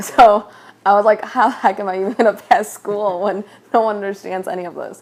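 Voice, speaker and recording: A woman with a Chicago-area accent keeps a fairly even intonation while her loudness swings widely. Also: medium pitch for a woman, fairly quick pace. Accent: Chicago-area American English. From US Midwest, Chicago area (came from Mexico at 3-4). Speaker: interviewee, medical field. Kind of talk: interview.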